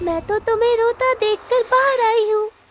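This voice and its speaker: A female-sounding put-on character voice runs at a moderate pace with an extremely high pitch. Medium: read story. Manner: gentle, soothing.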